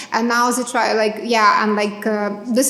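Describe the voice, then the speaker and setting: A woman speaks in a fairly high, monotone voice with flat intonation, with audible room echo and noticeable background noise. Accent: Ukrainian. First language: Ukrainian. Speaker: Ukrainian advocate for captives. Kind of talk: public talk at community event. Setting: library event with audience. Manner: halting, many fillers.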